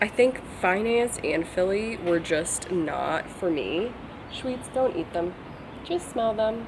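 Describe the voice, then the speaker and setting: Over noticeable background noise, a woman speaks very slowly at medium pitch with lively intonation. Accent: American. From Virginia, US. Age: 20s. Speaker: vlogger and software engineer. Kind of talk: casual chat to camera. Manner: casual, filler-heavy.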